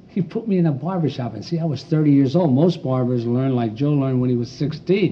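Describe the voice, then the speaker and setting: Over noticeable background noise, a man with an American accent speaks at a fairly quick pace, his fairly high pitch carried by lively intonation. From Pennsylvania. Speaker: barber. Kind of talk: casual interview chat. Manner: animated.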